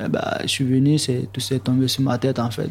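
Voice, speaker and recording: A man speaks fairly slowly, with noticeable background noise around him. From Côte d'Ivoire. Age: young. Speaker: young migrant, electrician. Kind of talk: testimony.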